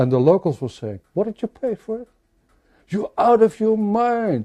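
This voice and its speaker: A man's high-pitched voice carries a dark, mellow tone. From Netherlands, Rotterdam. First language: Dutch. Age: 70s. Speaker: crime novelist. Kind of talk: interview conversation. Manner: halting, with frequent repetitions and fillers.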